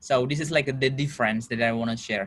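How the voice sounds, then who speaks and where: A man with an Indonesian accent and ordinary pitch variation. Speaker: international student. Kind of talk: interview. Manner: halting, with filler words.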